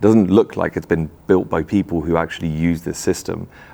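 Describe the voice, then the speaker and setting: A man's very deep, low voice keeps fairly even intonation at a moderate pace. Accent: strong English. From Czech Republic. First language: Czech. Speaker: tech company founder. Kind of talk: interview. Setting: in person at a conference.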